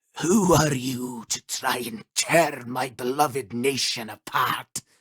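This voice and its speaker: A man does a put-on character voice, growling at a medium pitch. His pace is fairly slow. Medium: solo performance. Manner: pompous, declamatory.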